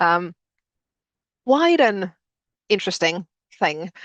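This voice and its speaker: Against a quiet background, a woman with a Finnish accent speaks at a medium pitch, the sound dry and close with no echo. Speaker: educator, postgraduate director. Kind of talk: webinar presentation. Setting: video call webinar. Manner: hesitant, many fillers.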